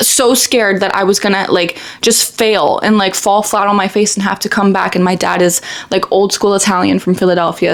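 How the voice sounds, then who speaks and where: With an animated tone, a woman talks at a fairly quick pace against noticeable background noise. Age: 20s. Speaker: lifestyle vlogger. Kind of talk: casual chat. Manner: fast.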